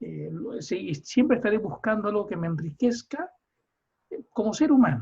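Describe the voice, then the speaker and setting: A man's high-pitched voice has a dark, mellow tone and very wide pitch swings. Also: moderate pace. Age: 60s. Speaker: psychotherapist and course leader. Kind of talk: online seminar discussion. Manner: halting.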